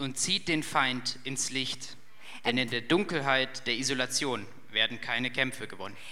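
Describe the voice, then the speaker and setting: Audible room echo surrounds a man whose bright, sharp, medium-pitched voice moves at a moderate pace with fairly even intonation. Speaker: youth leader giving a sermon. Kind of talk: sermon.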